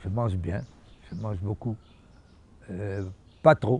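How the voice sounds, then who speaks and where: A man is speaking. His voice is somewhat breathy. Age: 70s. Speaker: musician. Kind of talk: interview.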